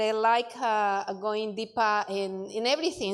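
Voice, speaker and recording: Over a very clean recording with a silent background, a woman with a Spanish accent speaks at a moderate pace, with a fairly high pitch and ordinary pitch variation. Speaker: bible college student. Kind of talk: class presentation. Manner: halting, many fillers.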